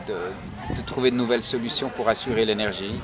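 A man speaks over noticeable background noise. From Switzerland, Nyon (Vaud). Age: 40s. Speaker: university staff member. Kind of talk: interview. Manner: hesitant, with fillers and repetitions.

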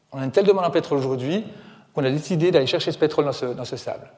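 A man is speaking. His pitch is fairly high. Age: 40s. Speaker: author and environmental speaker. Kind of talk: public lecture. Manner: animated.

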